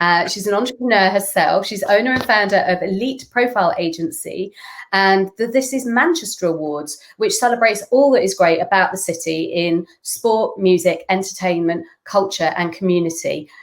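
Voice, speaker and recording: A northern English accent with lively intonation, a moderate pace and hardly any pauses. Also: woman, medium pitch for a woman. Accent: northern English twang. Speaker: brand consultant. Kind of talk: interview questions.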